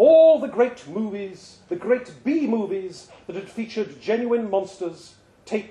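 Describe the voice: Lively intonation in plain reading aloud.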